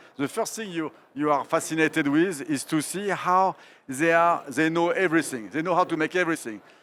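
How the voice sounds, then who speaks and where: A man with a French accent and a fairly high pitch talks at a moderate pace, recorded very cleanly against a silent background. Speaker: art curator, moderator. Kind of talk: public onstage interview. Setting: stage with audience at art fair.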